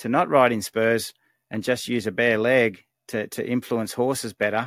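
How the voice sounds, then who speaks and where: A man with an Australian accent is heard on a very clean recording with a silent background, the sound dry and close with no echo. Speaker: horse trainer. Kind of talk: casual Q&A advice. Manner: halting.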